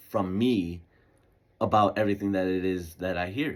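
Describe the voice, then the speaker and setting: A man's fairly low-pitched voice at a fairly slow pace. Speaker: podcast host. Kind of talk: casual monologue. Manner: halting, self-correcting; casual, laid-back.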